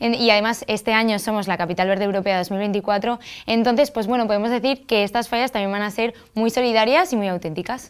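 With hardly any pauses, a woman talks at a fairly quick pace and a fairly high pitch, with ordinary pitch variation, against a quiet background. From Spain. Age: 20s. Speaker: festival queen; interview guest. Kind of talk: TV interview. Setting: TV studio. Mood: warm, smiling. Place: studio. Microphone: lapel.

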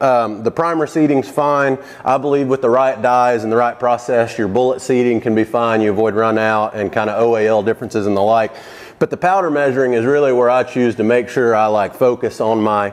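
At a fairly quick pace, a man speaks with very even loudness. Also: fairly even intonation. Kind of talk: tutorial. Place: workshop. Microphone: lapel.

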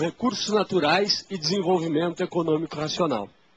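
A man talks at a moderate pace, with noticeable background noise in the recording. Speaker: environmental NGO representative. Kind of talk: formal presentation with slides.

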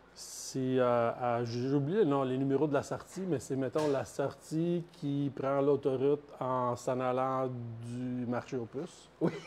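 With a Quebec accent, a man speaks at a medium pitch and a very slow pace, with hardly any pauses and fairly even intonation. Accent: Québécois French. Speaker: coffee company co-founder. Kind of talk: casual chat.

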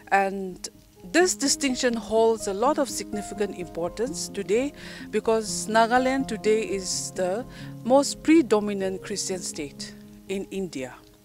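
Clear music plays behind a woman speaking at a fairly slow pace, the sound dry with no echo. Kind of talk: interview answer. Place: open country. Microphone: handheld.

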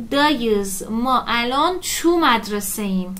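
A woman speaks at a very slow pace. Her pitch moves in very wide swings. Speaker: Turkish language teacher. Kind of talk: lecture. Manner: informal, explanatory. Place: home room.

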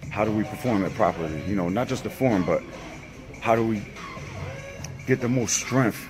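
Clear music plays in the background as a man speaks at a moderate pace with ordinary pitch variation. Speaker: fitness vlogger. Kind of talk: tutorial. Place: gym. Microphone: phone near.

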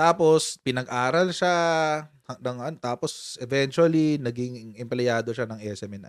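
An animated, fairly slow delivery with lively intonation, a dry sound with no echo and a quiet background. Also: man. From Philippines. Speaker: political commentary YouTuber. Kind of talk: casual live-stream commentary. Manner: animated, laughing often. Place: home room. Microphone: studio mic.

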